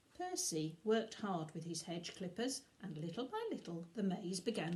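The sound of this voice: Lively intonation runs through it. The reading voice sounds unforced.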